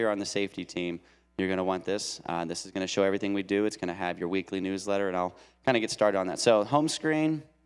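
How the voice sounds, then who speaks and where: On a very clean recording with a silent background, a man talks at a very fast pace with a fairly low pitch. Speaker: church deacon. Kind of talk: tutorial. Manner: hesitant, many fillers.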